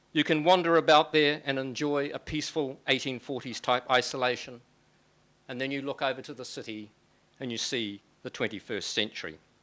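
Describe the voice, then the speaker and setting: A man with a New Zealand accent at a fairly quick pace, bright and sharp in tone, with ordinary pitch variation and big swings in loudness, in a very clean recording with a silent background. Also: medium pitch for a man. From New Zealand, Auckland. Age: 60s. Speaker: author and lecturer. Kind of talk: public lecture.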